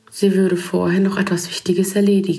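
An ordinary speaking voice, delivered at a moderate pace. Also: woman. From Germany. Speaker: writer and photographer. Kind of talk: reading aloud.

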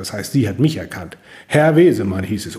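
With a dark, mellow tone and vocal fry, a man speaks at a fairly high pitch. His pitch swings very widely, and audible room echo surrounds him. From northern Germany, Husum (North Frisia). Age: 50s. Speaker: chamber of commerce branch manager. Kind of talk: interview. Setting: office.

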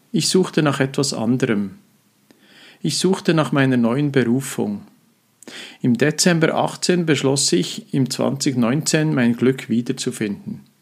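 This man speaks at a medium pitch with ordinary pitch variation, at a very slow pace with long, frequent pauses. The recording is very clean, with a silent background. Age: 50s. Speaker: mental trainer and coach, podcast host. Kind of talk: solo podcast monologue. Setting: studio with professional microphone. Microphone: professional microphone.

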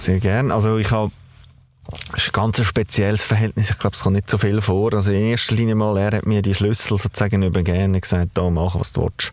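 Monotone, flat intonation from a man at a fairly quick pace, with very even loudness and noticeable background noise. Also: fairly low pitch for a man. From Baden, Aargau, Switzerland. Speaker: family business owner. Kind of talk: interview.

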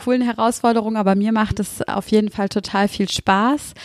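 A woman speaks at a moderate pace with a fairly high pitch and fairly even intonation. The sound is dry and close with no echo, in a very clean recording with a silent background. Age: 30s. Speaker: podcast host and mindfulness coach. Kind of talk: podcast monologue. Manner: hesitant fillers.

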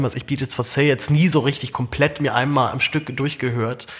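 Through noticeable background noise, a man talks very fast at medium pitch with monotone, flat intonation. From Germany. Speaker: podcast host. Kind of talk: casual chat. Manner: repeats words, halting.

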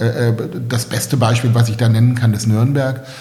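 With audible room echo and noticeable background noise, a man talks at a moderate pace and medium pitch. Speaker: real estate developer. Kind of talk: interview. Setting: in-person recording in Berlin. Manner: halting, many fillers and repetitions.

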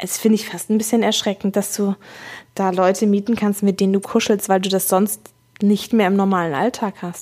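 On a very clean recording with a silent background, a woman at medium pitch speaks in a monotone, flat intonation at a moderate pace. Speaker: corporate podcast host. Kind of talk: casual chat.

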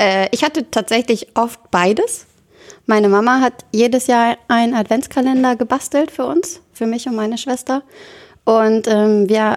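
Here a woman has an unremarkable speaking voice. Her pitch varies in an ordinary way. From northern Germany, Oldenburg area (Lower Saxony). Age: 20s. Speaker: church youth volunteer. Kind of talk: casual chat.

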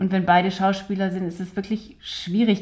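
Her voice is somewhat breathy, with a dark, mellow tone, and a woman speaks at medium pitch. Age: 40s. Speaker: doll maker, clown and actress. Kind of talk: casual conversation. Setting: home studio in an apartment.

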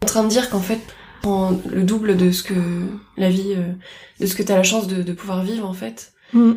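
A woman speaks at a moderate pace and medium pitch, her tone dark and mellow and somewhat breathy, with fairly even intonation, long, frequent pauses and audible room echo. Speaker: host's best friend. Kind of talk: casual chat, interviewing the host. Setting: home of the host's friend.

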